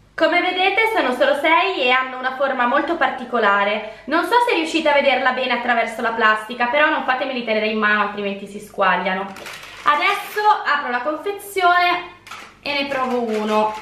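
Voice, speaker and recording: A woman's raised, projected voice at a fairly quick pace, with audible room echo and light background noise. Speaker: food reviewer vlogger. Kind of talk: casual vlog chat. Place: home room.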